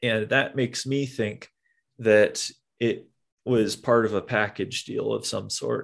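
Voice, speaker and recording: The speaker has an American accent and talks at a very slow pace. The background is quiet. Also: man. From Nebraska, Omaha. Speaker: amusement park ride operator. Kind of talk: casual chat.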